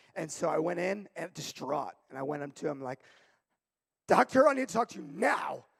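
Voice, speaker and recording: A loud, energetic man's voice, fairly high in pitch, at a fairly quick pace, dry and close with no echo. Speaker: youth pastor. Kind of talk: sermon.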